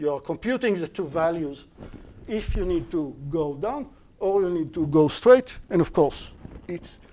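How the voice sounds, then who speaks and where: The speaker talks at a moderate pace with an Israeli accent. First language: Hebrew. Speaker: university lecturer. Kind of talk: lecture. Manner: halting.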